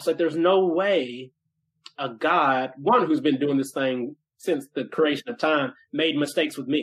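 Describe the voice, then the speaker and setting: With an American accent, a man in an ordinary speaking voice talks at a fairly slow pace, using a fairly high pitch and ordinary pitch variation. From US South, Nashville, Tennessee. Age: 30s. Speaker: entrepreneur and author. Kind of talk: interview conversation.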